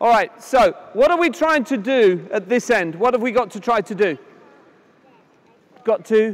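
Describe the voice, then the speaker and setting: With lively intonation and a high pitch, a man speaks at a moderate pace with long, frequent pauses against noticeable background noise. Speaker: tennis coach. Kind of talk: live coaching demonstration. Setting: conference court demonstration with audience, power outage. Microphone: no amplification due to power issue.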